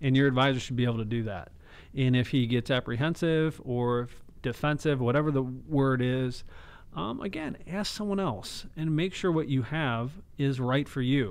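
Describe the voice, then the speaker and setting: A man's speech has ordinary pitch variation and a moderate pace. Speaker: financial advisor; radio show financial host. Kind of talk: radio show. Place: studio. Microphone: close to the mic; studio mic.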